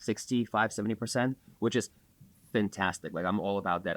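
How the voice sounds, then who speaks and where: The voice carries an Eastern European accent in a very clean recording with a silent background and a dry, close sound with no echo. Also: man. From Belarus. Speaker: bar owner. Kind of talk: casual chat.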